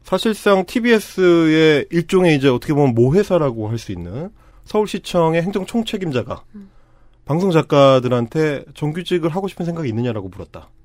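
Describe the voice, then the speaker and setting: A man talks at a moderate pace in a fairly high pitch. His pitch swings very widely. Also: big swings in loudness. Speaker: podcast host, broadcast writer and union activist. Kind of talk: casual chat. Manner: loud.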